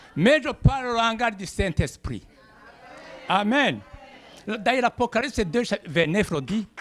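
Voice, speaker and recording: This man's voice sits high for a man, with lively intonation. He speaks fairly slowly, leaving long, frequent pauses. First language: Kirundi (speaking French). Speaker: pastor. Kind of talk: sermon. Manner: halting.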